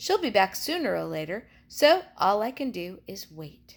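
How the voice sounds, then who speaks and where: Using a put-on character voice, a woman talks at a moderate pace. Her pitch is medium. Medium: read story.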